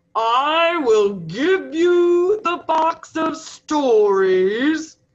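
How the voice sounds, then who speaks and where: Over light background noise, a high-pitched put-on character voice speaks at a very slow pace. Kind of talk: read-aloud storytelling. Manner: grand, commanding.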